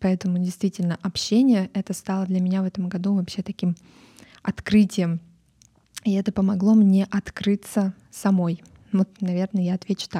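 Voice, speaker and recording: In a very clean recording with a silent background and a dry, close sound with no echo, a woman with a medium pitch and a dark, mellow tone speaks in a flat monotone, somewhat breathy, at a moderate pace with long, frequent pauses. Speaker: podcast host. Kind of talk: solo podcast monologue.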